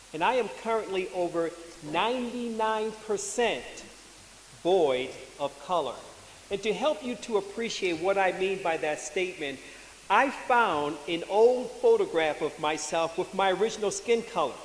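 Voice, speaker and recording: In an American accent, a man speaks at a high pitch with lively intonation, amid noticeable background noise and audible room echo. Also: moderate pace. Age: 60s. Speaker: retired engineer, patient advocate. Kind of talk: conference presentation. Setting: symposium with audience.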